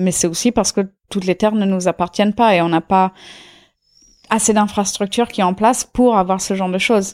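A woman at medium pitch, fairly quick pace, and fairly even intonation, on a very clean recording with a silent background and a dry, close sound with no echo. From India, Auroville near Pondicherry. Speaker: intentional community member. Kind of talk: casual interview. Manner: hesitant, many fillers.

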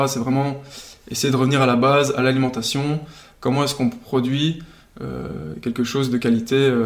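The delivery keeps a moderate pace. Its intonation is monotone and flat. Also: man. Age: 20s. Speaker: agronomist and food nonprofit co-founder. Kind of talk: interview. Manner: casual with frequent hesitations.

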